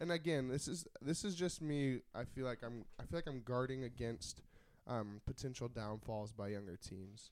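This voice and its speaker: A man's normal speaking voice at medium pitch, with lively intonation and a moderate pace. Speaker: podcast co-host. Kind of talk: casual chat. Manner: joking, playful.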